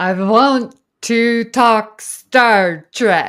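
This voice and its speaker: A woman uses a put-on character voice with a fairly high pitch. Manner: seductive, theatrical.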